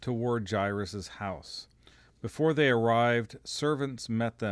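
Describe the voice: Pitch shifts a normal amount in this plain reading aloud.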